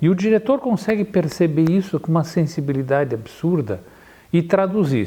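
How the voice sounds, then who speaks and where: This man has a high pitch and a dark, mellow tone. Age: 60s. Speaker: photographer. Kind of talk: interview. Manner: halting.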